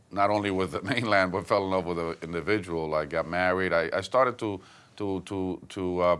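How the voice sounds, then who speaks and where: Against a quiet background, a man speaks with a Puerto Rican accent at a very deep, low pitch. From Puerto Rico, Santurce. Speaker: politician. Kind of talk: interview.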